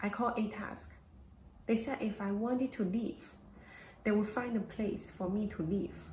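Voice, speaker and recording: A woman with a Chinese accent talks at a moderate pace and a fairly high pitch, with fairly even intonation and long, frequent pauses. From China. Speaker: domestic violence survivor. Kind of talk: testimony.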